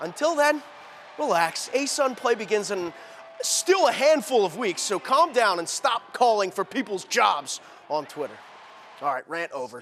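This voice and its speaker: A loud, high-pitched male voice with a passionate, energetic tone, very wide pitch swings and a moderate pace, over noticeable background noise. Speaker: TV sports anchor and reporter. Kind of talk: TV sports anchor reel. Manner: passionate, loud, energetic.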